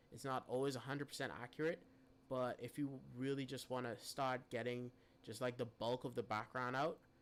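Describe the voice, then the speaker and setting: Medium pitch, fairly even intonation and a fairly quick pace from a man with a plain, everyday voice. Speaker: live streamer teaching photo editing. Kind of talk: tutorial. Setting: live stream.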